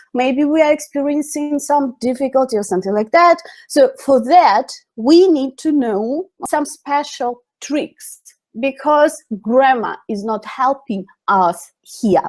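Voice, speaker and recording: Someone speaks at a very slow pace in a Russian accent. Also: woman, high pitch for a woman, lively intonation. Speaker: English teacher. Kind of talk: webinar lecture. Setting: online webinar. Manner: halting.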